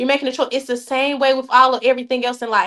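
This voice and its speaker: An animated tone in a Southern US accent. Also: woman. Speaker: youth program organizer. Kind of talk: podcast interview.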